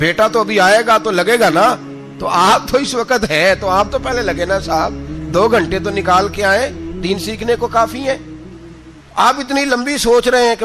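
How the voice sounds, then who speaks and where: A man talks with lively intonation as music plays in the background. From Pakistan. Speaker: Islamic scholar and preacher. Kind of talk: religious sermon. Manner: passionate, conversational, emphatic.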